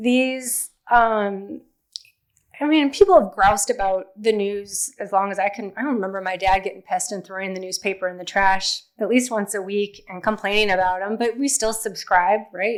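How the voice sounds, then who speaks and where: A woman speaks at a moderate pace in a medium pitch with ordinary pitch variation. Her loudness swings widely. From Wisconsin, US Upper Midwest. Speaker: newspaper editor. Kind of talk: public talk to an audience. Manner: casual, conversational with many fillers.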